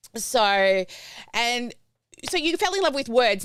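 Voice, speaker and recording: At a moderate pace, this voice moves through very wide pitch swings with an Australian accent. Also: woman. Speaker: podcast host. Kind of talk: casual interview chat. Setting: live-streamed video podcast.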